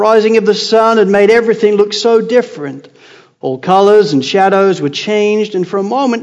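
Fairly even intonation in a plain read-aloud

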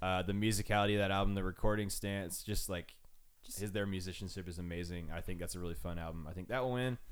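A man talks at a very fast pace with a very deep, low pitch. Room echo is audible. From Arizona, Phoenix area. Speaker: music podcast host. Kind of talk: casual chat. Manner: animated.

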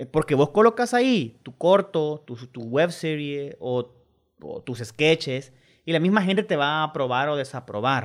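A man with a Salvadoran accent uses lively intonation and big swings in loudness. The recording is very clean, with a silent background. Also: fairly high pitch for a man, moderate pace. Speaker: film director. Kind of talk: radio interview.

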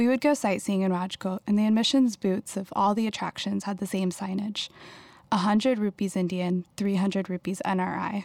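Speaking at a fairly quick pace in an American accent, a woman uses an ordinary speaking voice of medium pitch and fairly even intonation, recorded very cleanly against a silent background with a dry, close sound and no echo. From Houston, Texas. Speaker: writer and artist. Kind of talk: reading aloud.

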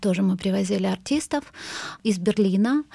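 The tone is dark and mellow as a woman talks. Her recording is very clean, and the background is silent. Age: 40s. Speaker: cultural manager. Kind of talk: interview. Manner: halting, many fillers.

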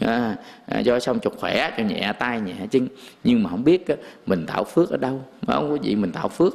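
Over noticeable background noise, a man with a medium pitch speaks at a fairly quick pace with very wide pitch swings. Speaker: Buddhist monk giving a dharma talk. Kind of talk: sermon. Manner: casual, conversational.

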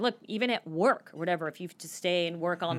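A woman speaks with an American accent. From US Southwest, Phoenix. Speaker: adventurer and leadership lecturer. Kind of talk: interview.

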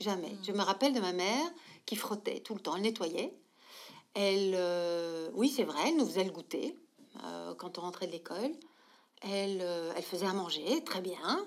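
Over a silent background on a very clean recording, a woman speaks with lively intonation and long, frequent pauses. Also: medium pitch for a woman, moderate pace. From Belgium, Brussels. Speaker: social entrepreneur. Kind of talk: interview conversation.

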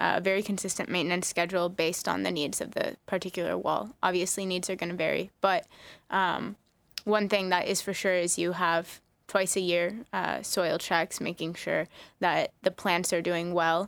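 Over a very clean recording with a silent background, a woman talks at a moderate pace. Her fairly low voice stays monotone and flat. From Hawaii. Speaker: green wall business co-founder. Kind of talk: radio roundtable discussion.

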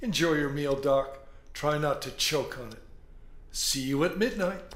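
A man's gruff, put-on character voice at a fairly high pitch and moderate pace, with ordinary pitch variation, big swings in loudness and light background noise. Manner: gruff, mocking, sarcastic.

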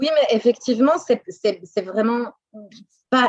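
The sound is dry and close with no echo as a woman talks at a fairly high pitch, her pitch varying in an ordinary way. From Belgium, Brussels. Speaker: French teacher. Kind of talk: interview. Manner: halting.

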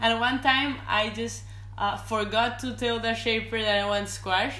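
Speech from a woman in a Spanish accent. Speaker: professional surfer. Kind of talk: casual interview. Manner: laughs often.

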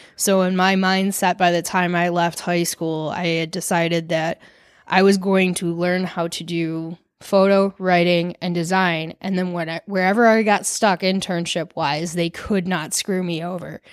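Speaking at a moderate pace, a woman with a Michigan accent keeps a monotone, flat intonation. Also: fairly low pitch for a woman, very clean recording, silent background. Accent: Michigan American. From Michigan, Detroit suburbs (Farmington). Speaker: artist and photographer. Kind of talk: casual chat.

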